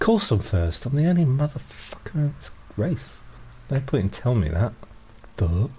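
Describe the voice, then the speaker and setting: Over noticeable background noise, a man of medium pitch talks at a moderate pace with very wide pitch swings and long, frequent pauses. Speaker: gaming streamer. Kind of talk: live gameplay commentary. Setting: live stream. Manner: casual, rambling with fillers; quiet. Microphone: stream volume a bit quiet.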